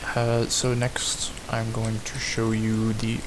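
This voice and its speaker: Against noticeable background noise, a man speaks quietly at a medium pitch. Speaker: gamer. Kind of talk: casual game tour narration.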